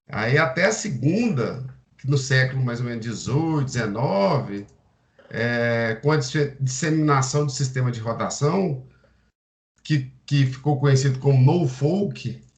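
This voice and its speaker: At a fairly slow pace, a man speaks somewhat breathily in a medium pitch with ordinary pitch variation. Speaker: agronomy student. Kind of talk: seminar presentation. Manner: halting.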